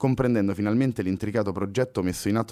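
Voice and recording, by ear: This is someone reading aloud. They do it in a natural voice.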